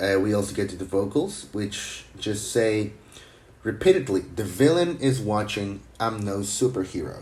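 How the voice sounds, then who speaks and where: With ordinary pitch variation, a man speaks in a fairly low, somewhat breathy voice. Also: moderate pace. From Mexico. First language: Spanish. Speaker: music producer. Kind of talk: tutorial. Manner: casual.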